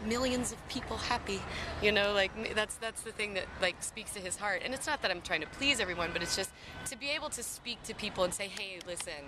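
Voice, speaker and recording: Over noticeable background noise, a woman talks at a very fast pace. Her pitch is medium, with ordinary pitch variation. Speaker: singer-songwriter. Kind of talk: casual interview. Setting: outdoors in a park playground.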